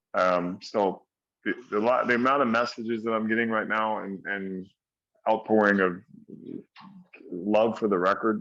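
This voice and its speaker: This man has a plain, everyday voice with fairly low pitch. His intonation is fairly even, and his pace is moderate. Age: 60s. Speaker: heavy metal singer. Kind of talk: interview.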